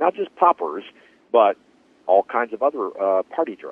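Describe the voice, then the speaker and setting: Medium-pitched male speech at a moderate pace, full of lively intonation. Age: 60s. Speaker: podcast host. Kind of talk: interview conversation.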